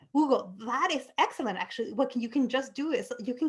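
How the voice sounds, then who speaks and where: With a non-native accent, a woman speaks at a fairly quick pace. Her pitch is high. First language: not English. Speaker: university lecturer. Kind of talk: lecture. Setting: video call. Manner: halting.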